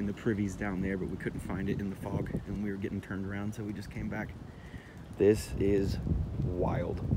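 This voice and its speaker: A man speaks at a moderate pace with a fairly low pitch. His intonation is flat and monotone, and the room echo is audible. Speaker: hiking vlogger. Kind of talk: casual vlog narration. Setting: outdoors.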